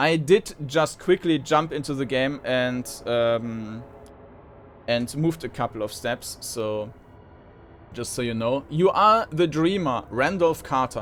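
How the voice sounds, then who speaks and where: Here a man talks at a fairly high pitch. His intonation is lively and his pace very slow. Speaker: gaming video host. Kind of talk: let's play commentary. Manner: loud; halting, many fillers.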